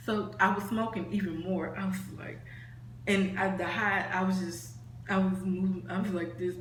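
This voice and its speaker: Over noticeable background noise, a woman talks at a moderate pace and medium pitch with lively intonation. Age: young. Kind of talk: casual storytime talk to camera. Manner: casual, rambling.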